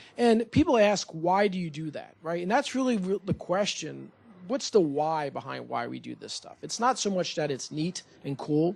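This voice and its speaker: Speaking at a moderate pace, a man with a high voice uses lively intonation and big swings in loudness. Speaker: surgeon, urology division chief. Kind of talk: presentation to community board. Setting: meeting room with audience and microphone.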